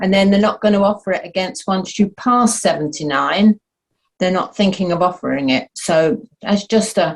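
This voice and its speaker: At a moderate pace, a woman speaks in a somewhat breathy voice of medium pitch with ordinary pitch variation. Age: 80s+. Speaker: audience member. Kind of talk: casual chat.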